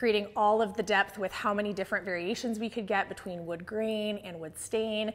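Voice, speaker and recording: Ordinary pitch variation from a woman, her pace moderate. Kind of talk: house tour presentation. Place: home room. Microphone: lapel.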